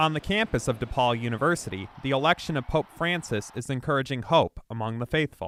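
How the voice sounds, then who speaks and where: A man with an ordinary speaking voice talks at a fairly quick pace, medium in pitch, with lively intonation and hardly any pauses. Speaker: TV news reporter. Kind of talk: TV news reporter delivery.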